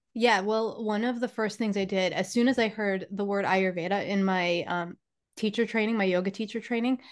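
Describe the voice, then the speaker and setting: A woman at a moderate pace, fairly even intonation, quiet background. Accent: American. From New York. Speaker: spiritual teacher and healer. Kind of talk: casual interview conversation.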